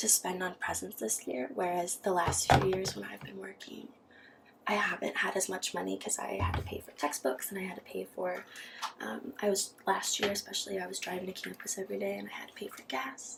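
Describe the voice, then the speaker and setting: A woman's soft-spoken whispering at a fairly quick pace, with big swings in loudness and music in the background. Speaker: ASMR creator. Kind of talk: casual talk to camera. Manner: whispered, soft-spoken.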